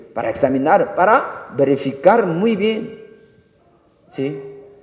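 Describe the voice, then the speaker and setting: The pace is very slow as a man speaks. Audible room echo can be heard. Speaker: pastor. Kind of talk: sermon.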